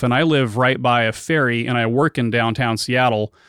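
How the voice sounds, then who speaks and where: In an ordinary speaking voice, a man speaks at a moderate pace and medium pitch with fairly even intonation, in a very clean recording with a silent background. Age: 40s. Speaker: podcast host. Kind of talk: casual interview. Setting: guest's studio, in person.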